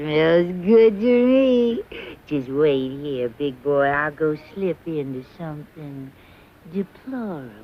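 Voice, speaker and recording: This cartoonish character voice sits at a middle pitch and moves at a fairly slow pace. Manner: sassy, theatrical.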